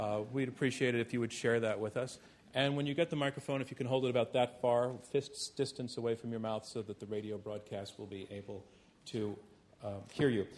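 A man with a normal speaking voice, medium in pitch, talking at a fairly quick pace with fairly even intonation. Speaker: debate moderator. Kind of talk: moderated public debate. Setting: stage with audience. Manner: formal.

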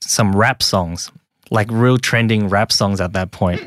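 Speaking fairly slowly with a Cantonese accent, a man uses ordinary pitch variation. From Hong Kong, raised in Australia from age six. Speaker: social media creator. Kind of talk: interview, personal storytelling.

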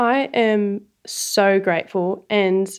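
Over a quiet background, a woman with an Australian accent speaks at medium pitch with ordinary pitch variation. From Sydney, Australia. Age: 30s. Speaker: organic garlic farmer. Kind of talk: interview, casual conversation.

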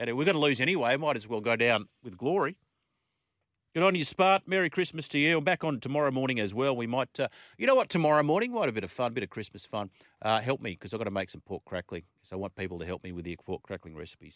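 Talking at a very fast pace with very wide pitch swings, a man comes across in an upbeat, warm tone on a very clean recording with a silent background. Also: medium pitch for a man, big swings in loudness. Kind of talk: radio DJ patter. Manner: warm, colloquial Aussie banter, laughing and ad-libbing.

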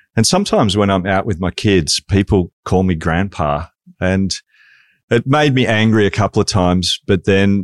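At a moderate pace, a man with an Australian accent and a fairly low pitch speaks with ordinary pitch variation, in a dry, close sound with no echo against a quiet background. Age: 50s. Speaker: podcast co-host. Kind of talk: interview.

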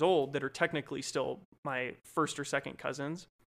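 A man with an American accent and a plain, everyday voice, fairly high in pitch, at a fairly quick pace, in a very clean recording with a silent background. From Colorado. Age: 20s. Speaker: podcast co-host. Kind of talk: casual chat.

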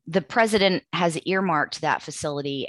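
A woman is heard in a dry, close sound with no echo on a very clean recording with a silent background. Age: 40s. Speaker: environmental attorney, podcast host. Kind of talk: casual chat.

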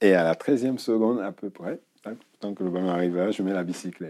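The speaker's dark, mellow tone comes with ordinary pitch variation. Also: man. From Guinea. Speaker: retired footballer. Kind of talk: interview. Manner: halting.

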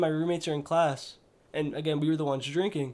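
A man with a plain, everyday voice speaks at a fairly high pitch with fairly even intonation. The recording is very clean, with a silent background. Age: 20s. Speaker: Marine veteran. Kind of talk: casual chat.

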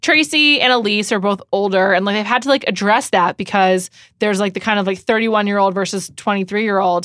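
A very fast pace in an American accent. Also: woman, medium pitch for a woman, ordinary pitch variation. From New York City. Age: 30s. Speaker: podcast host. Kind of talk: casual chat. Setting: studio.

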